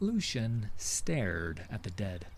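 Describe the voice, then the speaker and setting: At a very slow pace, a somewhat breathy man lets his pitch make very wide swings. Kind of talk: audio drama narration.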